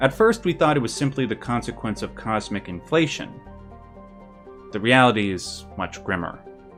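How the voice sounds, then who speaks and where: There is music in the background. The man's intonation is lively. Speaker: guest narrator presenting a written script. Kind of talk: lore narration of a fictional universe history. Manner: calm, soft ASMR-like delivery.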